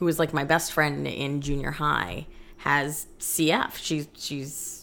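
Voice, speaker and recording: Vocal fry runs through a woman's very deep, low-pitched voice. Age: 30s. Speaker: podcast co-host. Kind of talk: casual chat.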